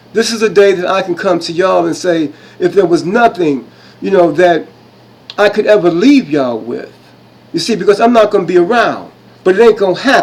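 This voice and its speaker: A man with a high pitch talks at a fairly quick pace. His tone is animated and his intonation lively. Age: 60s. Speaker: self-styled history presenter. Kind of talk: impassioned monologue presentation. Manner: animated, repetitive.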